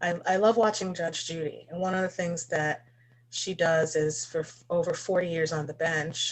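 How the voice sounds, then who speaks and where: A woman speaks with a fairly low pitch, a somewhat breathy voice and ordinary pitch variation. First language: not English. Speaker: festival founder and host. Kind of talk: live event hosting. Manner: halting.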